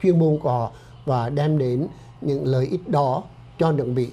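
Somewhat breathy and dark, mellow in tone, a man speaks at a fairly slow pace with ordinary pitch variation. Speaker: doctor and clinic director. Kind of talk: informational health-group presentation. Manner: formal. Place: studio. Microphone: lapel.

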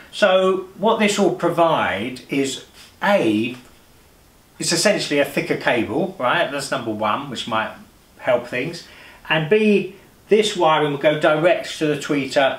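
In a room with audible echo, a man talks with vocal fry. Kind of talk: tutorial. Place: home room.

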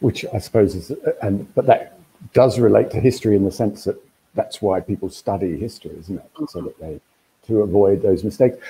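A man's fairly low, dark, mellow, somewhat breathy voice at a fairly quick pace, with ordinary pitch variation and big swings in loudness. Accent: Australian. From Australia. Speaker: books editor and festival interviewer. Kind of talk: interview. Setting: video call. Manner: halting. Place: home room. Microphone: video call.

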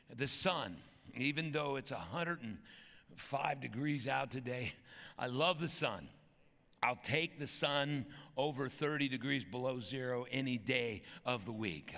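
A man talks at a very slow pace in a bright, sharp tone. His voice carries vocal fry and ordinary pitch variation. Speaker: pastor. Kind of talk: sermon. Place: church. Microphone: headset.

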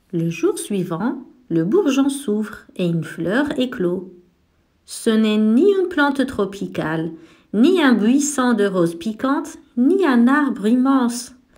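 In a gentle, soothing tone, a woman with a high voice speaks at a very slow pace, her pitch swinging very widely. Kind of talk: bedtime story read aloud to children, narration with character dialogue. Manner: gentle, soothing storyteller pace with clear, warm expressiveness.

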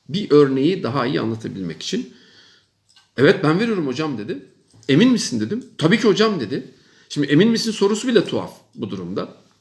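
A man with vocal fry, a fairly quick pace and very wide pitch swings. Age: 50s. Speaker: professor. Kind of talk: monologue advice talk to young people. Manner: emphatic, repetitive.

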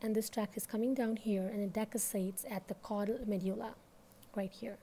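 A woman talks at a fairly quick pace with a fairly high pitch and a dark, mellow tone. Her voice is somewhat breathy, with light background noise. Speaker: medical educator. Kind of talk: educational lecture. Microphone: phone near.

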